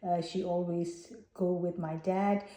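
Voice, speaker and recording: A woman in a Burmese accent, fairly low-pitched, at a very slow pace in a monotone, flat intonation, amid noticeable background noise. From Myanmar (Burma). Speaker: Buddhist vlogger. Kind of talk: personal vlog talk. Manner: hesitant, many fillers.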